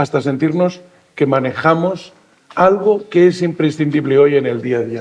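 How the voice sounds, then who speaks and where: The man's voice sits fairly high, with ordinary pitch variation. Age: 60s. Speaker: senior association representative. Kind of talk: panel discussion. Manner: halting.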